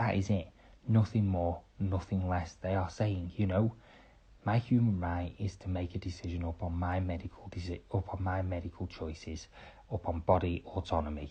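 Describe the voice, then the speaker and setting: A man with a British accent, very deep and low in pitch, somewhat breathy with a dark, mellow tone, fairly even intonation and a moderate pace, against a quiet background. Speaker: podcaster. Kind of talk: opinion monologue. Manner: quiet, hushed; impassioned.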